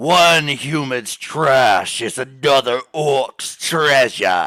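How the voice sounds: Using a put-on character voice, a man speaks at medium pitch and a very slow pace.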